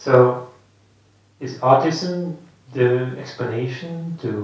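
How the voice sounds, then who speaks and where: Fairly even intonation from a man at a medium pitch, plus audible room echo. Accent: Dutch. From Netherlands. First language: Dutch. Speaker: Buddhist monk teacher. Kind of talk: dharma talk. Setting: meditation centre with audience. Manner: halting.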